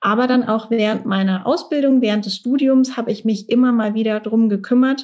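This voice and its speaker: Speaking at a fairly quick pace with hardly any pauses, a woman comes through on a very clean recording with a silent background. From Germany, Mannheim. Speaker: career coach. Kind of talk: casual interview.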